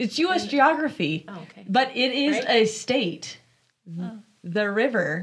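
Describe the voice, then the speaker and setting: A somewhat breathy woman's voice, fairly high in pitch, with very wide pitch swings and a fairly slow pace. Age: 20s. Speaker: women's podcast co-host. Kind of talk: casual chat, quiz game.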